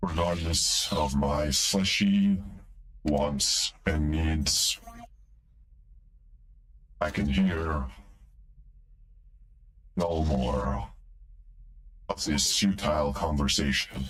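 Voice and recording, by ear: Using a put-on character voice, a man speaks very slowly with long, frequent pauses at an extremely low pitch, with ordinary pitch variation, a fairly bright tone and audible room echo.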